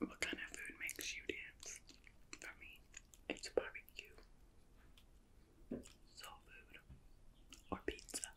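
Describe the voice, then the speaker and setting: Whispering at a very slow pace, the speaker leaves long, frequent pauses while loudness swings widely. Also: woman. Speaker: ASMR creator. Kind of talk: casual talk to camera, eating video. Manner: soft, whispered.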